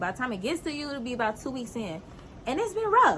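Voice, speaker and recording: Over noticeable background noise, a woman with a fairly high pitch speaks in an animated tone. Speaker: spiritual lifestyle show host. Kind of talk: motivational talk to viewers; guided hypnosis intro. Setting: outdoors. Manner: calm.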